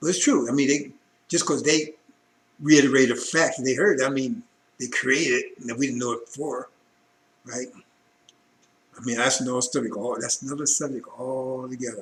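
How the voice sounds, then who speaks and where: Though the pace is fairly quick, the speech has long, frequent pauses. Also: man, medium pitch for a man. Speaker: religious broadcaster. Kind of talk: sermon. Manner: animated; fast.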